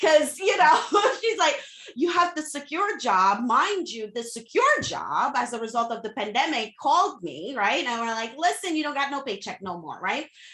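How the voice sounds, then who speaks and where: Through noticeable background noise, a woman projects a raised, high-pitched voice at a moderate pace, with very wide pitch swings. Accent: slight Haitian. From Haiti. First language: Haitian Creole / French. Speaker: social media coach, entrepreneur. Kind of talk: interview podcast. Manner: casual, emphatic.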